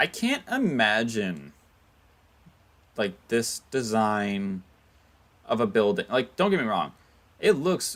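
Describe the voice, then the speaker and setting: Speaking at a very slow pace, a man with an American accent uses a medium pitch on a very clean recording with a silent background. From United States. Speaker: gaming livestreamer. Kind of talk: casual live gameplay commentary. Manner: casual, halting with self-corrections.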